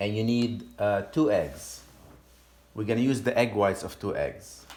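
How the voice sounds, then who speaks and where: Speaking at a fairly slow pace with a Lebanese accent, a man is heard amid noticeable background noise and audible room echo. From Lebanon. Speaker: home cook and cooking teacher. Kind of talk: cooking tutorial. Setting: home kitchen. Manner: casual, with some hesitations.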